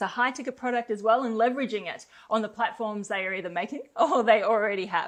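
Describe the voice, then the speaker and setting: A woman with an Australian accent speaks at a very fast pace in a fairly high pitch. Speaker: company co-founder, network marketer. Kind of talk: promotional webinar conversation. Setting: webinar recorded in Bali.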